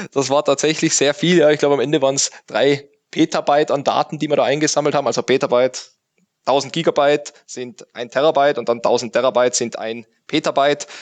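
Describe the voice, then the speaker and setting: Dry and close with no echo, a man talks at a very fast pace and fairly high pitch. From Austria, Tyrol. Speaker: IT forensics consultant. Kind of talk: interview. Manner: halting, many filler sounds.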